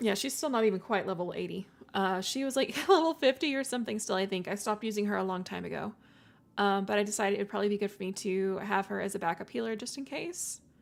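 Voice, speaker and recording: Very fast, lively speech from a woman with fairly high pitch, over noticeable background noise. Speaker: VTuber game streamer. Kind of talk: casual game stream chat. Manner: halting, stuttering.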